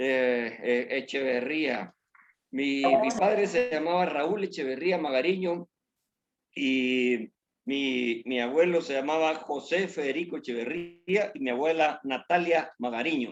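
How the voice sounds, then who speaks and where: A man's fairly high voice at a very slow pace, with lively intonation. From Guatemala. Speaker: church member. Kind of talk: testimony. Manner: halting.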